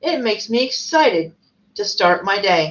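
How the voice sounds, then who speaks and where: A woman puts on a character voice at medium pitch. She moves at a moderate pace. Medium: read story. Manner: simple, earnest.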